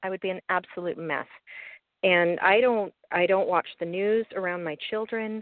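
A woman with an American accent has a normal speaking voice at a medium pitch, talking at a moderate pace with fairly even intonation. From US East Coast. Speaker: young adult novelist. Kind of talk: interview.

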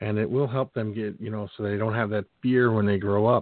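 A man's fairly quick, medium-pitched, unremarkable speaking voice. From Philadelphia. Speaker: podcast host. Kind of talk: casual interview.

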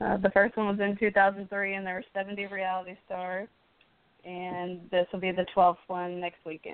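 A woman speaks at a moderate pace with monotone, flat intonation and big swings in loudness. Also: medium pitch for a woman. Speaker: charity event organizer. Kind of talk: interview.

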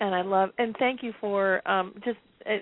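Her medium pitch and fairly even intonation mark this woman's speech, delivered at a moderate pace.

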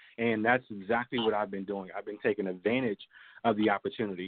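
A man with an American accent, a fairly low voice and a very fast pace. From US, Maryland. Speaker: political activist. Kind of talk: phone interview. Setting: phone call. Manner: animated.

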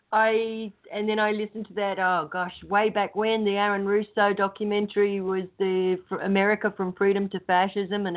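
The speaker has an Australian accent and talks with a monotone, flat intonation. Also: woman. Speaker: show panelist. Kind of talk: casual chat.

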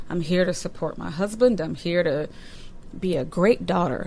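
A woman with an American accent, amid noticeable background noise. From Massachusetts, Boston area. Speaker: teacher and author. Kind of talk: interview guest, personal testimony. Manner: hesitant, many fillers.

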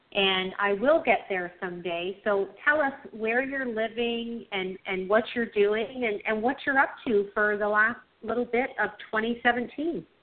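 With a Canadian accent, the speaker goes at a fairly slow pace with hardly any pauses and ordinary pitch variation over noticeable background noise. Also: woman, fairly high pitch for a woman. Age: 50s. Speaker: radio host. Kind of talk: interview.

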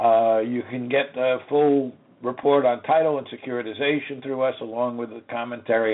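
A man talks in an ordinary speaking voice. His pace is moderate and his intonation fairly even. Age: 60s. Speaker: lawyer and radio host. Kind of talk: lecture. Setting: radio studio.

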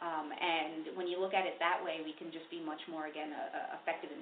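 Someone with an American accent talks at a moderate pace, with audible room echo. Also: woman. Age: young. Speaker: public defender and district attorney candidate. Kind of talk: interview.

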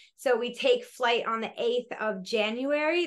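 In an American accent, the speaker keeps a moderate pace over a quiet background. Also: woman. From US (Colorado, then Florida). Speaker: yoga teacher and empowerment coach. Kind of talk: interview.

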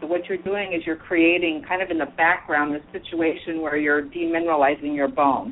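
An ordinary speaking voice from a woman, fairly low in pitch, at a fairly quick pace with ordinary pitch variation and hardly any pauses. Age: 50s. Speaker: clinical nutritionist. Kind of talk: expert panel discussion.

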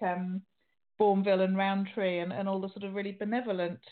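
This woman has a normal speaking voice at a medium pitch and talks at a moderate pace. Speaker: radio host. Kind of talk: interview.

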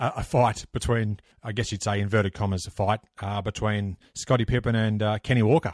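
A man in an Australian accent speaks fairly quickly with hardly any pauses, using a fairly low pitch and fairly even intonation, on a very clean recording with a silent background and a dry, close sound with no echo. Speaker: basketball history podcaster. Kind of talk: casual interview.

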